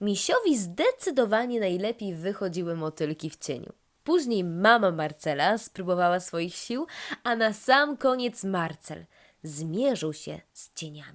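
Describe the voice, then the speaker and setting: Against a very clean, silent background, a woman with an unremarkable speaking voice talks at a medium pitch and a fairly slow pace with lively intonation. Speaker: storyteller. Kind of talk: children's bedtime story narration.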